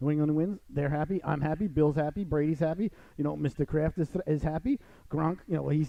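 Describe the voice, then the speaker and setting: Talking at a very fast pace with a Long Island accent, a man with a fairly high pitch sounds animated, with ordinary pitch variation. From US Northeast, Long Island, New York. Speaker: radio host. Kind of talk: casual talk show chat.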